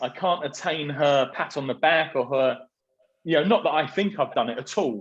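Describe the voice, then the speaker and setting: With a southern English accent, a man talks at a moderate pace with lively intonation. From southern England, Surrey. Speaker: property business executive. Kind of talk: interview conversation. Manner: halting.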